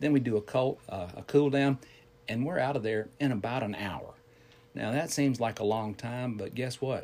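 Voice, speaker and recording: A man with a Southern US accent, medium pitch, ordinary pitch variation and a moderate pace. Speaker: fitness instructor. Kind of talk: casual chat.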